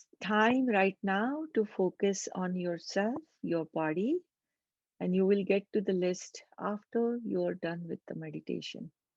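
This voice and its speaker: A woman with a normal speaking voice talks at medium pitch and a fairly slow pace with ordinary pitch variation, in a dry, close sound with no echo. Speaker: meditation guide. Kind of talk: guided meditation. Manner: slow, calm.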